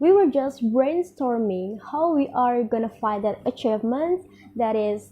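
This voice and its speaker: Speaking at a fairly slow pace, a woman with an Indonesian accent uses lively intonation and a fairly high pitch. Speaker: university student. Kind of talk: speech.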